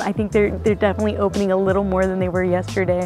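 A woman's voice, dry with no echo, over clear music in the background. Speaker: travel vlogger. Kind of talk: casual vlog chat. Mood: excited, delighted. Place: open country.

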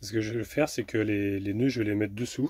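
A man speaks in a dark, mellow tone. His voice has a slightly husky edge.

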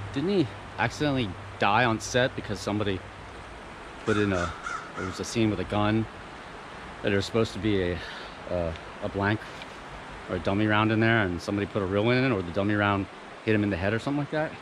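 Over noticeable background noise, a man with a fairly low pitch speaks very fast in a dry sound with no echo. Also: ordinary pitch variation. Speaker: outdoor explorer vlogger. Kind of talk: casual vlog chat. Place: waterside. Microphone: phone near.

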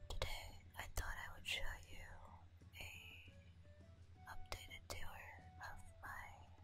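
A whispered voice moves at a very slow pace with long, frequent pauses while music plays in the background. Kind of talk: ASMR game house tour.

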